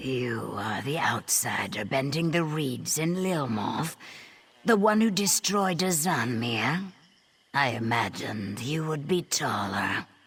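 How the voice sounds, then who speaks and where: Someone does a put-on character voice at a fairly slow pace, low-to-middle in pitch with very wide pitch swings. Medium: video game. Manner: measured, dry.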